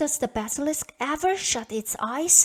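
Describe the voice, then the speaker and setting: A woman in a put-on character voice speaks at a high pitch and a moderate pace with lively intonation. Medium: read story. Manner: resolute, earnest.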